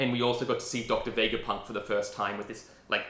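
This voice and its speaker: A man's bright, sharp tone at medium pitch, with audible room echo. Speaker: anime reaction youtuber. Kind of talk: casual video commentary. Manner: rambling, hesitant with fillers.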